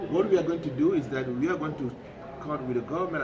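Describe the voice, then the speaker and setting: Over noticeable background noise and audible room echo, a man with a fairly high pitch speaks at a very fast pace. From Cameroon. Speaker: peace organization director. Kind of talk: interview. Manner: halting.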